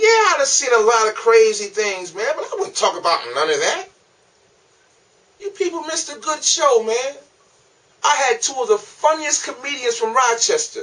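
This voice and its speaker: A man speaks in a raised, projected voice at an extremely high pitch, with very wide pitch swings, big swings in loudness, and long, frequent pauses. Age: 40s. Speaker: comedian. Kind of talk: casual monologue to camera. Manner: casual.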